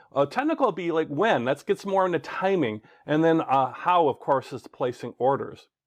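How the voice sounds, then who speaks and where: Close and dry with no echo, the sound rests on a quiet background. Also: man, fairly high pitch for a man. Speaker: online course instructor. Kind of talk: lecture. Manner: fast; casual, with fillers.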